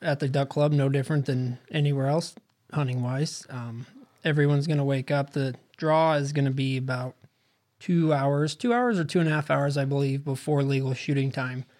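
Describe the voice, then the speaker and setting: A man talks in a normal speaking voice at a moderate pace. His pitch is fairly high and his intonation fairly even. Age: 20s. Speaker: hunting guide and outfitter. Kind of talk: casual chat.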